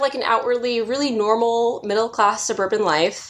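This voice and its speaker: A woman with a Californian accent and a high pitch speaks in an animated tone. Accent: Californian American English. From Southern California. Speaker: podcast co-host. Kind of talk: casual chat. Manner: animated, laughs often.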